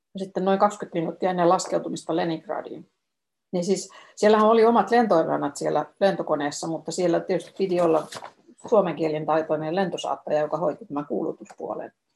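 A woman speaks at a fairly low pitch with ordinary pitch variation. Vocal fry runs through her voice. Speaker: former travel agency tour organizer. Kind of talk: flight announcement read aloud, Finnish then Swedish. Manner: formal, even and polite, cabin-crew style; slow, clear, measured reading.

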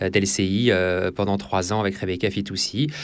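Delivery keeps a moderate pace. Its pitch moves with ordinary variation. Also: man. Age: 30s. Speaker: TV news anchor and political journalist. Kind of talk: interview. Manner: halting, many fillers and repetitions.

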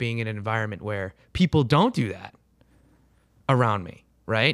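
A man's speech comes through in a very clean recording with a silent background. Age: 20s. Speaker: podcast co-host. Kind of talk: casual interview chat.

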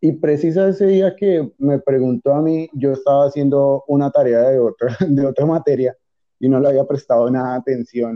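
Using an ordinary speaking voice, a man talks at a moderate pace in a fairly high pitch, with ordinary pitch variation and very even loudness. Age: young. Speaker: university student. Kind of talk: casual chat.

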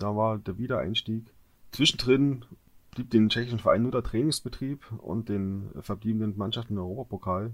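A man's normal speaking voice, medium in pitch, at a moderate pace with fairly even intonation. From Görlitz, eastern Saxony. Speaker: football podcast co-host. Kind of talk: casual chat.

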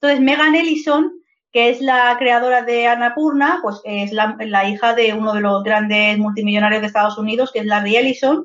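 Speaking at a moderate pace, the woman uses a fairly high pitch with ordinary pitch variation. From Madrid, Spain (Vallecas). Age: 30s. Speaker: video game narrative teacher and author. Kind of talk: casual interview chat.

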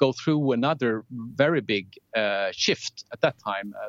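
This man has a Swedish accent. His pitch sits in the medium range. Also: dry, close sound with no echo. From southern Sweden (Lund). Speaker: telecom technology executive. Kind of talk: interview.

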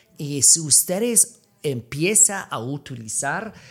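A fairly high-pitched man with an American accent and very wide pitch swings, music playing in the background. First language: English (speaking Spanish). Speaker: podcast host. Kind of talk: casual chat. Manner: halting in Spanish.

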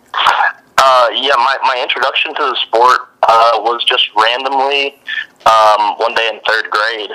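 Against noticeable background noise, a man with an American accent speaks very slowly at a medium pitch with monotone, flat intonation. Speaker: medical student and former wrestler. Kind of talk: interview.

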